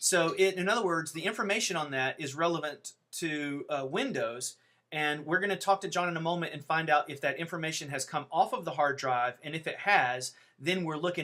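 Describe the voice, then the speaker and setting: A man speaks with a bright, sharp tone. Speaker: tech support webinar host. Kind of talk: live Q&A help session. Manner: fast.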